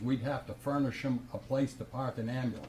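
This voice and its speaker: Fairly quick speech from a man, noticeable background noise behind it. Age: 80s+. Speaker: resident speaking at public comment. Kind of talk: heated debate. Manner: animated.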